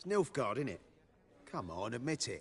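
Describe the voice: A put-on character voice with big pitch swings, a fairly bright tone, a slightly husky edge and a moderate pace. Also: man, medium pitch for a man.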